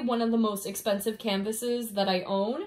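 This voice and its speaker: A woman's animated, enthusiastic tone. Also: quiet background. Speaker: diamond painting vlogger. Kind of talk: casual video review, chatty monologue. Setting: home, filming to camera with loud AC fan. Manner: animated, enthusiastic, chatty. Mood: enthusiastic, warm. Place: home room. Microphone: phone near.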